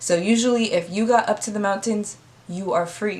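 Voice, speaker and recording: A woman talks in a plain, everyday voice at medium pitch. Her pace is moderate and her pitch varies in an ordinary way. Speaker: history storyteller. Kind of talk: casual educational talk to camera. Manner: casual, conversational.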